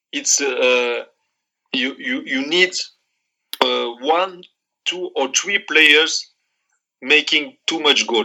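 With a strong Moroccan accent, this man speaks at a fairly high pitch. His pitch varies in an ordinary way. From Morocco. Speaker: football coach, former player. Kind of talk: interview. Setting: remote call.

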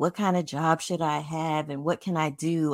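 A woman with an American accent has an ordinary speaking voice, pitched fairly low and moving at a fairly slow pace. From New York City, the Bronx. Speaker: podcast host and Reiki practitioner. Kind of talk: casual interview chat.

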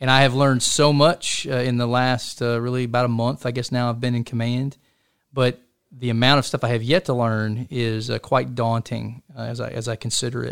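A man speaks in a normal speaking voice with an American accent, at a medium pitch and a fairly quick pace. His intonation stays fairly even, and the recording is very clean with a silent background. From US South, Chattanooga, Tennessee. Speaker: army officer. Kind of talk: interview.

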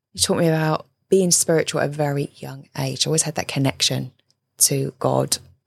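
A woman speaks with a southern English accent at a fairly quick pace. The sound is dry and close, with no echo. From southern England (Surrey). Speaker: relationship coach and author. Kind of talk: interview conversation.

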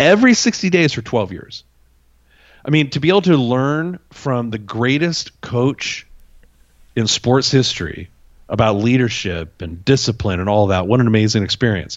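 A man's animated, medium-pitched voice with very wide pitch swings. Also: moderate pace. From Greek family, immigrated. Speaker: podcast host and marketing company CEO. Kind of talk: interview.

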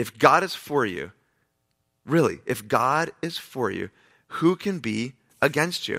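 The man speaks at a fairly high pitch with a warm yet bright, sharp tone and vocal fry. His fairly slow, lively delivery has long, frequent pauses, on a very clean recording with a silent background. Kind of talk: pep talk. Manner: warm, earnest, encouraging; direct, emphatic, repeating short reassuring phrases.

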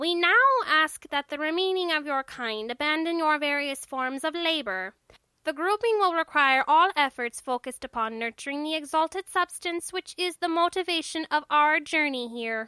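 At a moderate pace, a put-on character voice comes through high in pitch and nasal. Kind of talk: comic alien. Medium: read story. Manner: formal, politely menacing, pompous.

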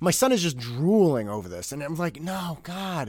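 This man's fairly high pitch moves in very wide swings. His tone is animated. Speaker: podcast host. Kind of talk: angry comedic rant, mock-outraged and sarcastic, ironic tirade against a toy ad. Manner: animated, exasperated, sarcastic, fast and emphatic with comic indignation; conversational, storytelling with quoted voices and self-interrupting asides.

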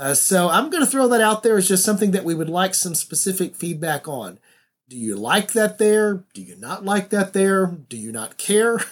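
An American-accented man at a moderate pace, high-pitched and lively in intonation, with big swings in loudness, on a very clean recording over a silent background. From US South. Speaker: podcast host. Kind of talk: casual monologue.

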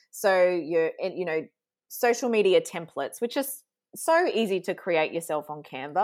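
A woman with an Australian accent and medium pitch speaks at a moderate pace with lively intonation on a very clean recording with a silent background. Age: 40s. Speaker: social media strategist and sales coach. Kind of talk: casual interview chat. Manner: animated.

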